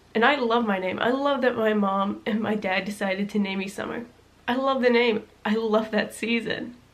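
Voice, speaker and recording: Noticeable background noise sits behind a woman with a fairly high pitch. She talks at a moderate pace with fairly even intonation. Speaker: vlogger. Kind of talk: personal storytelling vlog.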